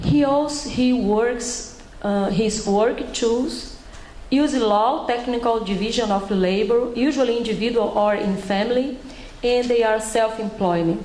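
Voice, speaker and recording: In a room with audible echo and noticeable background noise, a woman with a Brazilian accent speaks slowly at a fairly high pitch, with ordinary pitch variation and very even loudness. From Brazil, Bahia. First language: Portuguese. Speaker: public health researcher and doctor. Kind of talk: panel presentation. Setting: panel at a conference with audience. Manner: halting.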